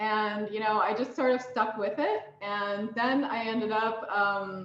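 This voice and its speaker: Audible room echo around a woman's fairly high pitch, with an American accent and ordinary pitch variation. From USA. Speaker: mentor and banking technology professional. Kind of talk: mentoring talk. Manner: hesitant with many fillers.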